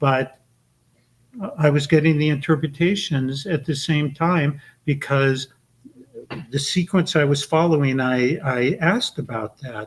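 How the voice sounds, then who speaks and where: A somewhat breathy man's voice, fairly high in pitch, at a fairly slow pace with ordinary pitch variation and long, frequent pauses. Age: 70s. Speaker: author and esoteric librarian. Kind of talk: podcast interview.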